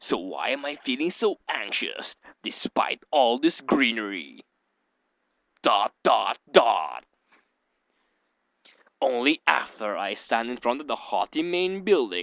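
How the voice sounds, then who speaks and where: A man performs a put-on character voice at medium pitch with very wide pitch swings. He goes at a fairly slow pace with long, frequent pauses, in a dry, close sound with no echo. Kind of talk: mock-dramatic reading. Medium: game stream.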